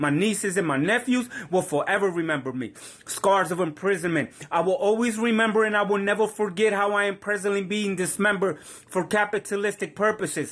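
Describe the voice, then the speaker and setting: With a Puerto Rican accent, a man talks at a fairly quick pace and high pitch with ordinary pitch variation, over noticeable background noise. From Puerto Rico. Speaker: spoken word poet. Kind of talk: spoken word poetry performance.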